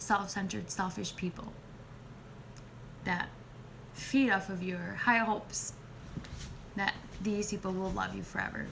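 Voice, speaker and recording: A woman at a fairly slow pace, with long, frequent pauses and audible room echo. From Spanish-speaking country. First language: Spanish. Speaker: nurse and spiritual healer. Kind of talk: live video chat. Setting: live stream.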